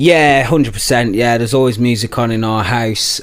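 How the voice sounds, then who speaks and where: A man of medium pitch with a West Midlands accent. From West Midlands, England (Telford, Shropshire). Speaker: rapper. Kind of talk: casual interview chat.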